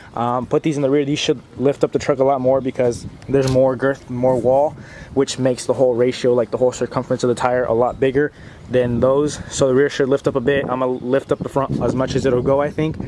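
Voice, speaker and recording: Very fast speech in a monotone, flat intonation is heard over noticeable background noise. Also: man, medium pitch for a man. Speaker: car enthusiast YouTuber. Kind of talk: casual garage vlog tutorial. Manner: hurried; halting, self-correcting.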